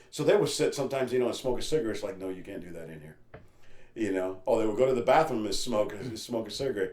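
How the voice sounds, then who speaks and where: A man with a medium pitch talks at a very fast pace. His loudness swings widely, with audible room echo around him. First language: Spanish. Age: 50s. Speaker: missionary. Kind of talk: interview testimony.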